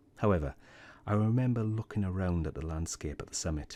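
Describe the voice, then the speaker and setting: On a very clean recording with a silent background, a soft-spoken man with a British accent and a dark, mellow tone talks at a fairly quick pace with ordinary pitch variation. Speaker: science youtuber. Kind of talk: personal reflection.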